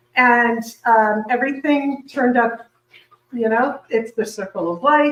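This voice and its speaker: This woman has a fairly high pitch, ordinary pitch variation and a fairly slow pace. It is an ordinary speaking voice. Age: 60s. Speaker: plant-based cooking instructor. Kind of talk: interview.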